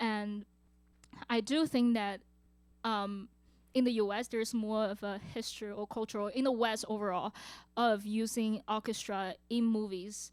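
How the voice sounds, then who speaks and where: A woman's fairly high voice in a Chinese accent, monotone and flat, with long, frequent pauses. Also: moderate pace. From China. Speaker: composer and multi-instrumentalist. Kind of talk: audience Q&A. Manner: halting.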